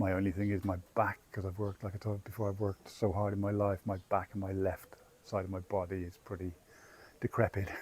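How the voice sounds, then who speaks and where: With an English accent, a man speaks at a very fast pace, his pitch fairly low. The voice is somewhat breathy, with monotone, flat intonation. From England. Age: 60s. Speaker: travel vlogger. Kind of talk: casual chat. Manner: halting.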